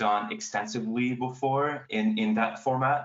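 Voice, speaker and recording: His intonation is fairly flat and level. He is a man with a French accent. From France. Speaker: astrophotographer and author. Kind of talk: panel talk. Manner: halting.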